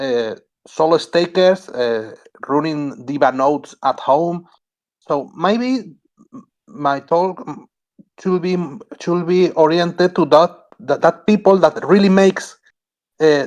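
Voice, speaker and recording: Speaking very slowly with long, frequent pauses, a man with a Spanish accent talks at a high pitch with ordinary pitch variation. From Spain. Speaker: node operator guest. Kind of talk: technical talk on a community call. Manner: halting.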